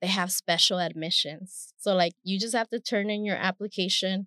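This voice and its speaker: Recorded dry and close with no echo, a woman speaks with a Spanish accent. Her intonation is fairly even. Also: quiet background. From Stockton, California (born in Mexico). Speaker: professor. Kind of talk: interview.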